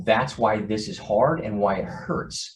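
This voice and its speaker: A man with a fairly low pitch and a somewhat breathy voice. Room echo is audible. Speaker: organization CEO. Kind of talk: online town hall address. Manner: fast.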